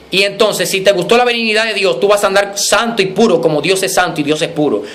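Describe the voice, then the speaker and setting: A man talks in a high voice at a fairly quick pace, with an animated tone. Noticeable background noise runs behind him. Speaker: preacher. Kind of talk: sermon. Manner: fast.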